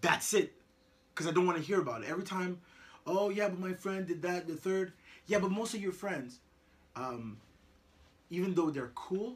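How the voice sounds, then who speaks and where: Amid noticeable background noise, a high-pitched man talks at a moderate pace with ordinary pitch variation and long, frequent pauses. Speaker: parent. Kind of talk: casual chat. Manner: repetitive stammering.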